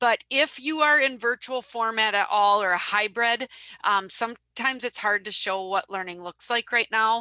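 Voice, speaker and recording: In a Wisconsin accent, a woman with a bright, sharp tone and fairly high pitch speaks at a moderate pace with ordinary pitch variation, the sound dry and close with no echo. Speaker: social media business owner. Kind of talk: webinar presentation.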